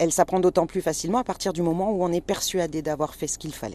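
Her tone is animated. This woman's pitch sits fairly low. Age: 50s. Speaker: home nurse. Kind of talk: on-location interview. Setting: in a car.

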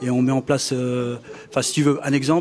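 A man at medium pitch is heard through noticeable background noise. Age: 40s. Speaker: youth association leader. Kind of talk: interview. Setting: outdoor live event with audience. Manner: halting.

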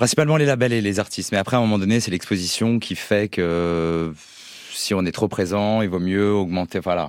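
Fairly low male speech at a medium speed, pitch varying in an ordinary way. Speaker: music agency co-founder.

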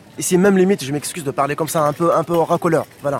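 A man speaks at a fairly quick pace in a fairly high pitch with ordinary pitch variation, his voice dry and close with no echo over noticeable background noise. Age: 40s. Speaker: former telecom employee. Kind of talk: testimony.

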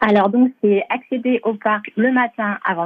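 Her voice sits at a medium pitch. The speaker is a woman. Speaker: theme park representative. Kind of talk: radio interview.

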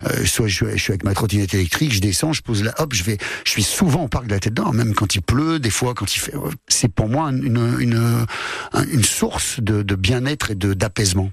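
A man at medium pitch, fairly quick and with lively intonation, over noticeable background noise. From France, Lyon. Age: 50s. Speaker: comedian. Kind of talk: casual chat.

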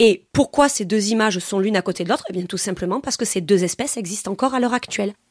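In a very clean recording with a silent background and a dry, close sound with no echo, a woman at medium pitch talks very fast with ordinary pitch variation and hardly any pauses. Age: 30s. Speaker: science teacher. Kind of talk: testimony.

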